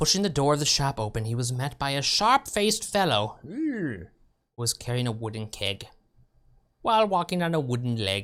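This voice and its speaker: The voice moves at a moderate pace. The recording is very clean, with a silent background. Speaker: streamer. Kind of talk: reading game text aloud.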